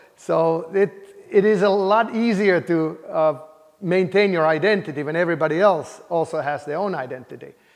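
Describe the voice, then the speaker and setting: With a Finnish accent, a man talks at a moderate pace in a high pitch for a man, with ordinary pitch variation over noticeable background noise. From Finland, Helsinki. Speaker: computer science professor. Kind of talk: interview. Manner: hesitant, many fillers.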